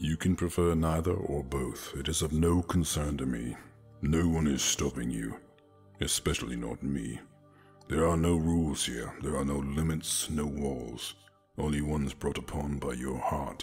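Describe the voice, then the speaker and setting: Over faint music in the background, a man puts on a character voice with a very deep, low pitch at a moderate pace. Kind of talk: romantic ASMR roleplay. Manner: calm, seductive, patient, knowing.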